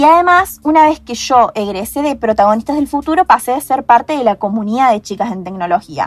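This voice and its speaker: Over music in the background, a woman talks at a fairly quick pace with hardly any pauses, her high voice making very wide pitch swings. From Argentina, Córdoba province (Hernando). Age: young. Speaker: software engineering student. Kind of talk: podcast interview. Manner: hesitant, many fillers.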